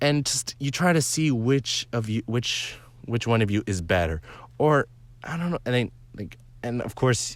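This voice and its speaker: A man at medium pitch, lively intonation, moderate pace, on a very clean recording with a silent background. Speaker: gaming YouTuber. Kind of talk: casual vlog commentary. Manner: halting, filler-heavy; animated.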